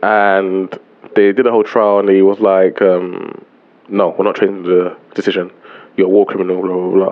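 A man speaks at a low pitch and a moderate pace. There is little pitch movement.

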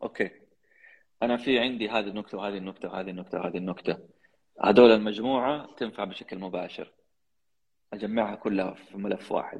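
A man speaks with a Hejazi accent in a fairly low voice at a fairly quick pace. His intonation stays fairly even, broken by long, frequent pauses. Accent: Hejazi Saudi Arabic. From Saudi Arabia, Jeddah (Hejaz). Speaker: podcast host and public speaking champion. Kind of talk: interview.

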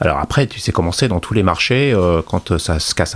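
With lively intonation and a very deep, low pitch, a man talks at a moderate pace against noticeable background noise. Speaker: guitarist and guitar journalist. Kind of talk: casual interview.

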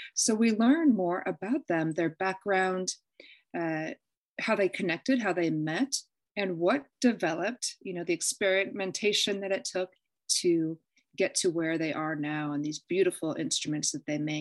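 A woman with an unremarkable speaking voice talks at a moderate pace and medium pitch, her intonation lively. The sound is dry and close, with no echo. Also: quiet background. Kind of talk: interview.

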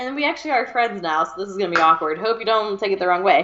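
An animated woman with a Southern US accent, over noticeable background noise. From US South, Georgia. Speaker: podcast co-host. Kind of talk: casual chat.

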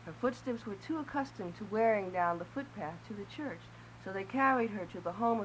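The intonation stays lively while the text is read aloud in a natural voice.

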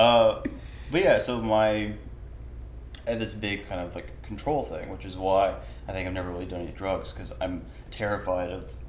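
A man speaks at a moderate pace with long, frequent pauses. His loudness swings widely, and the room echo is audible. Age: 20s. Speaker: podcast host. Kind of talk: casual interview chat. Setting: art gallery studio.

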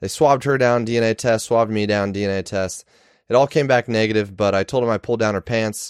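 A man speaks at a fairly quick pace in an ordinary speaking voice, medium in pitch, with a dry, close sound, no echo and a quiet background. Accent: American. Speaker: podcast host. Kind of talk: casual monologue. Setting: recording at home.

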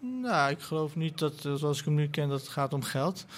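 A somewhat breathy voice at a moderate pace. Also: man. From Netherlands, son of migrant worker. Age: 30s. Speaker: writer and columnist. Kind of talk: panel discussion. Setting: live event at a festival.

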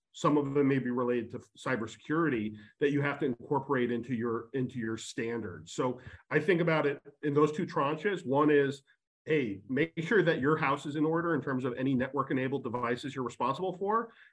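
Over a quiet background, a man with an ordinary speaking voice talks at a fairly quick pace in a fairly high pitch, with ordinary pitch variation. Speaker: panelist in real estate. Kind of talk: panel discussion.

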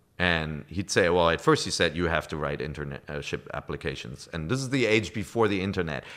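A man with a German accent and a very deep, low voice with vocal fry, at a fairly quick pace with lively intonation and hardly any pauses. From Germany. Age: 40s. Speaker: video game media executive. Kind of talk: casual interview.

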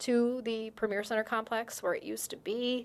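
A plain, everyday voice with an American accent speaks at a moderate pace with fairly even intonation on a very clean recording with a silent background. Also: woman. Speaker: business news publisher. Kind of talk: interview. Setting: radio studio.

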